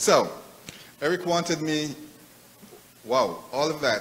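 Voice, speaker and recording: A man speaks in a Jamaican accent. The room echo is audible and background noise is noticeable. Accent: Jamaican accent, lasting. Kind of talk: conference speech. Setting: live event with audience, hotel. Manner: halting, frequent repetitions.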